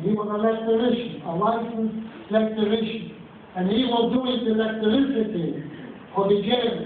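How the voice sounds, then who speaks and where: Over noticeable background noise, a man with a high voice speaks at a moderate pace with fairly even intonation. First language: Yiddish. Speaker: Holocaust survivor. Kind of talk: talk to a school audience.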